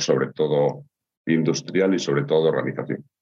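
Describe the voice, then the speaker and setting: A man with a very deep, low pitch talks at a moderate pace, his pitch varying in an ordinary way. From Gijón, Asturias, northern Spain. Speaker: industrial consultant. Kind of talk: interview.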